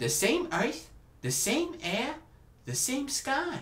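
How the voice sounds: A man doing a put-on character voice.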